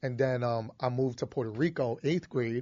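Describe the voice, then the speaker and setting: Speaking at a fairly quick pace, a man with a Philadelphia accent holds a medium pitch. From Philadelphia, Kensington. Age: 20s. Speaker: podcast host. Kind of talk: casual chat. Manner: animated.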